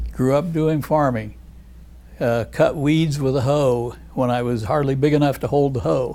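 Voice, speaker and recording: With an American accent, this voice has a dark, mellow tone, ordinary pitch variation and a moderate pace, with audible room echo. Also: man, medium pitch for a man. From US Midwest, Indiana. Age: 80s+. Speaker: retired plastic surgeon. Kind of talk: oral history interview.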